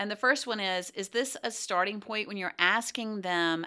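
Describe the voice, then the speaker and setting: With a Southern US accent, a woman speaks in a bright, sharp tone. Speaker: podcast co-host, business coach. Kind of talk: casual chat, podcast conversation.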